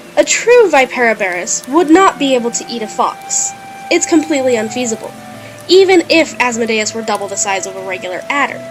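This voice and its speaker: The speaker talks at a fairly quick pace with very wide pitch swings and big shifts in loudness while music plays in the background. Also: woman, fairly high pitch for a woman. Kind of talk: video essay narration.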